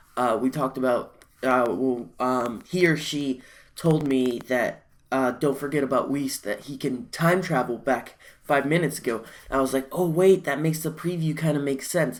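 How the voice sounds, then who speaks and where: A quiet voice on a very clean recording with a silent background. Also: moderate pace. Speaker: anime reaction youtuber. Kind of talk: live reaction video. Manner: halting.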